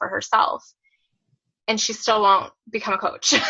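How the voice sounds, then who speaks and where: At a moderate pace, a woman with a fairly high pitch speaks in a plain, everyday voice. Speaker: physical therapist and fitness coach. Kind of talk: testimony. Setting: video call.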